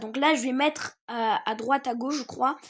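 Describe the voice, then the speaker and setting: A woman with a high pitch speaks at a fairly slow pace on a very clean recording with a silent background. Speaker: gaming youtuber. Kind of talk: tutorial. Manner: hesitant, many fillers.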